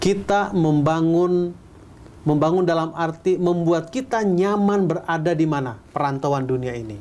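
Here a man with a high pitch speaks at a fairly slow pace. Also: ordinary pitch variation. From Bandung, West Java, Indonesia. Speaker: pastor. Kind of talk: Bible teaching and sermon-like discussion. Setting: studio. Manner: conversational, asks rhetorical questions. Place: studio.

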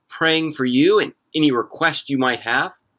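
Vocal fry, very wide pitch swings and a bright, sharp tone from a man at a moderate pace over a quiet background. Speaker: pastor. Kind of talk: church service welcome and announcements. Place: garden. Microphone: phone near.

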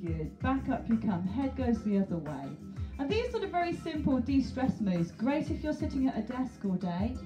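The speech moves at a moderate pace. Clear music plays in the background. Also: woman. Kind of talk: fitness class instruction. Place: home room. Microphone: headset.

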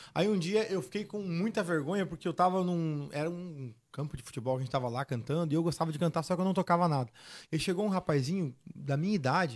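Very fast pace with ordinary pitch variation. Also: man, high pitch for a man. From southern Brazil, Rio Grande do Sul (Seberi); Rio Grande do Sul, Brazil. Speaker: sertanejo singer; podcast guest. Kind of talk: casual chat. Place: studio. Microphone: studio mic.

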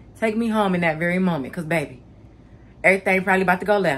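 Speaking at a fast pace, a woman has a fairly low pitch, a fairly bright tone and ordinary pitch variation.

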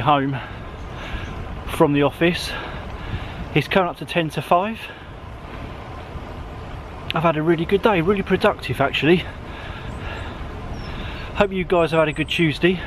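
A man's voice at a moderate pace with long, frequent pauses and fairly even intonation, dry with no echo, amid noticeable background noise. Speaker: cycling vlogger. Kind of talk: casual vlog chat. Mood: cheerful, content. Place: bicycle. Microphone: phone near.

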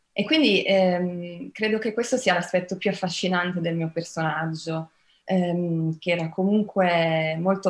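A woman speaks at a fairly low pitch with fairly even intonation. Her pace is fairly slow. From Brazil, widely travelled. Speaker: actress. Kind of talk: press interview. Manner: hesitant, many fillers. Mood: warm, reflective. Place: home room. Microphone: video call.

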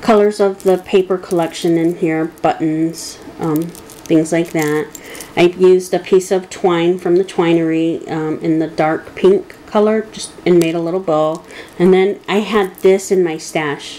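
A woman with an American accent, fairly low in pitch, with monotone, flat intonation and a fairly slow pace over noticeable background noise. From Michigan, US. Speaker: crafting video creator. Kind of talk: tutorial. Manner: hesitant with frequent fillers.

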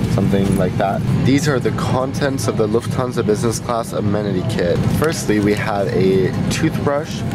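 Clear music plays in the background as a man talks at a moderate pace. The sound is dry, with no echo. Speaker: travel reviewer. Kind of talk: casual vlog chat. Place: plane. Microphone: phone near.

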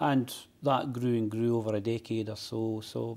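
With a dark, mellow tone, a man speaks in a monotone, flat delivery. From Scotland. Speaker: poet. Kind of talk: interview answer. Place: studio. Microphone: lapel.

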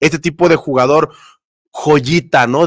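The background is quiet. A man speaks at a fairly slow pace with ordinary pitch variation. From Mexico. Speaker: sports YouTuber. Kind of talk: live stream chat. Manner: casual, conversational. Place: home room. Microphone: studio mic.

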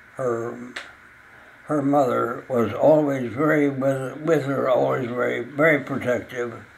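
A man speaks at a very slow pace with monotone, flat intonation. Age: 80s+. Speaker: retired radio pioneer. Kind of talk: interview. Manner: halting. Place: home room.

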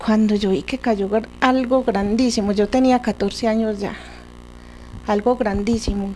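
Over light background noise, a woman speaks at a fairly slow pace with long, frequent pauses. Her voice is fairly high, dark and mellow in tone, with fairly even intonation. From Colombia, La Unión, Antioquia; Antioquia, Colombia. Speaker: local resident; interviewee. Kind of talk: storytelling interview. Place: home room. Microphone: handheld.

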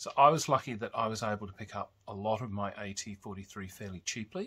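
A bright, sharp voice with an Australian accent at a fairly quick pace. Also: man. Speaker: tabletop games YouTuber. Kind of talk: casual show-and-tell video; casual vlog chat. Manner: casual, with fillers. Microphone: phone near.

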